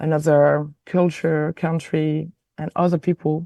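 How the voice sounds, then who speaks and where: A woman speaks with a very deep, low pitch and a dark, mellow tone, her intonation monotone and flat at a fairly slow pace, in a dry, close sound with no echo and a quiet background. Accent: French. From France, Alsace/Lorraine border with Germany. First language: French. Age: 40s. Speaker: film director. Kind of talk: interview. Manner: hesitant, many fillers.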